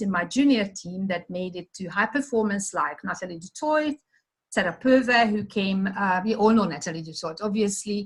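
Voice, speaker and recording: A woman speaks with a Hungarian accent. Her pace is fairly quick and her pitch variation ordinary. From Hungary. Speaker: sports development manager. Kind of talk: presentation.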